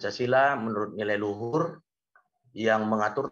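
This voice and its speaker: Over a quiet background, a man speaks at a fairly low pitch in a bright, sharp tone. His intonation is fairly even and his pace moderate. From Medan, North Sumatra; North Sumatra, Indonesia. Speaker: university lecturer. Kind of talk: webinar lecture. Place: home room. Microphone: video call.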